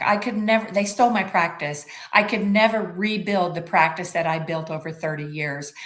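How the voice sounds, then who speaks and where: A woman with a fairly low pitch and ordinary pitch variation, with audible room echo and noticeable background noise. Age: 70s. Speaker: suspended family lawyer and advocate. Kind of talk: interview.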